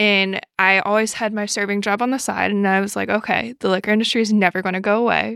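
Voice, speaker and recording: A bright, sharp voice with an American accent and fairly even intonation comes through dry and close with no echo, on a very clean recording with a silent background. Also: woman. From New York City. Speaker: grad student and bartender. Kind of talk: casual chat.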